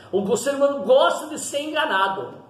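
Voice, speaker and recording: Noticeable background noise and audible echo from the room fill the space around a man as he talks. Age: old. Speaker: pastor. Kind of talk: sermon. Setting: at home.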